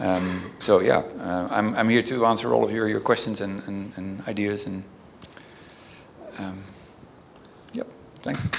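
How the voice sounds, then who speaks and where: A man with a Dutch accent, fairly low-pitched, at a fairly slow pace with long, frequent pauses, fairly even intonation and big swings in loudness, amid audible room echo and noticeable background noise. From Netherlands. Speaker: email reputation specialist. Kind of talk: panel discussion. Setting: stage with audience. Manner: halting, many fillers.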